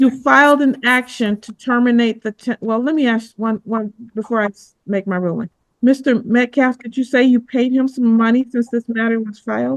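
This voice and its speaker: A woman speaks with a fairly high pitch and fairly even intonation. The sound is dry and close, with no echo. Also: moderate pace. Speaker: judge. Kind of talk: courtroom hearing. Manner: firm.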